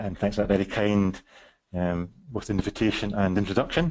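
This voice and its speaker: The speaker is a man with a Scottish accent. His pitch is fairly low. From West Scotland. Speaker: psychiatrist presenting a webinar. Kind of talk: webinar presentation. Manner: fast; halting, many fillers.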